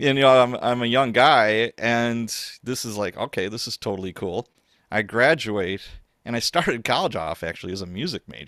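A plain, everyday voice from a man with an American accent, medium in pitch, at a moderate pace, in a very clean, dry, close recording with no echo and a silent background. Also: big swings in loudness. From US Midwest, Chicago South Side and Wisconsin. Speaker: author and former police officer. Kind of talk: casual chat.

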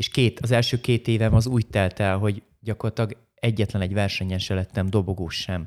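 At a fairly quick pace, a man speaks in an unremarkable speaking voice, fairly low and with fairly even intonation, on a very clean recording with a silent background and a dry, close sound with no echo. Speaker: karate master and former champion. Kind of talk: interview.

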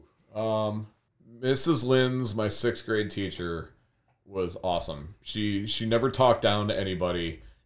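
The voice is unremarkable, with an American accent, ordinary pitch variation and a fairly slow pace. The recording is very clean, with a silent background. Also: man, fairly low pitch for a man. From US Midwest, Cleveland west side (Berea). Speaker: high school art teacher. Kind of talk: casual interview.

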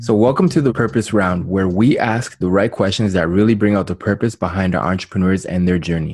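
Against a quiet background, a man with a fairly low pitch talks at a fairly quick pace in a normal speaking voice with ordinary pitch variation. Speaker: podcast host. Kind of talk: casual interview.

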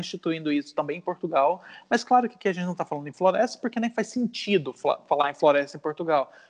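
A man's high voice at a very fast pace over a quiet background. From Brazil, Goiânia and Natal. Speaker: poet and visual artist. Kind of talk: interview conversation.

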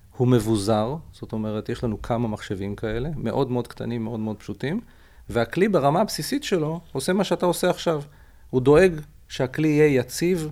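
With a dark, mellow tone and lively intonation, a man speaks at a fairly quick pace. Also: medium pitch for a man. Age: 50s. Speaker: startup CEO. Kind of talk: interview.

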